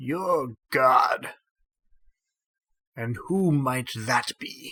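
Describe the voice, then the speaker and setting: Putting on a character voice, a man sounds raspy and creaky at a fairly high pitch. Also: ordinary pitch variation. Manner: slow, suspicious, questioning.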